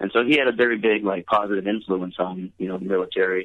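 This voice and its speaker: Here a man speaks with fairly low pitch. His intonation stays fairly even. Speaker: veteran and medical marijuana activist. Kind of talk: casual interview, emotional personal storytelling. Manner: relaxed, conversational, halting and heartfelt.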